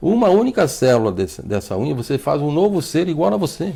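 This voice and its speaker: Speaking at a fairly quick pace, a man uses a dark, mellow tone with very wide pitch swings. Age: 60s. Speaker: doctor. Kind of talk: TV interview. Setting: TV studio. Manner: halting, repeats words.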